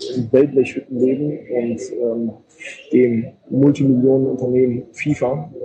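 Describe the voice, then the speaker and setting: The speech comes at a very slow pace, with noticeable background noise behind it. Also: man. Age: 30s. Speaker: sports journalist. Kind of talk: casual interview. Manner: halting, many filler words.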